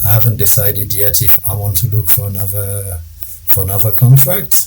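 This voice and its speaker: A man's fairly low voice with a French accent, audible room echo and music in the background. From Ivory Coast. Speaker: risk management consultant. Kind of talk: interview.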